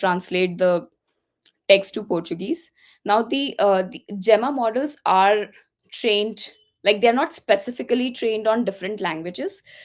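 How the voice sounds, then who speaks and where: A woman's fairly high voice with an Indian accent and lively intonation. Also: very clean recording, silent background. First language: Hindi. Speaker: tech speaker. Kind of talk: tutorial.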